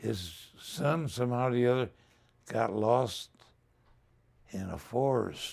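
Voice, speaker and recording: Medium in pitch, a man speaks at a very slow pace with ordinary pitch variation and long, frequent pauses. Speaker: war veteran. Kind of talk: interview. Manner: halting.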